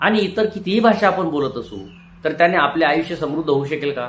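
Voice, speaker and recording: The man speaks in a high pitch that swings very widely. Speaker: retired teacher. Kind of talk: motivational talk. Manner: formal.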